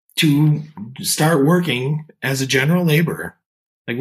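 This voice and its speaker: Lively intonation shapes this man's speech. There is a somewhat breathy quality to it. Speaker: podcast host. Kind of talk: interview conversation.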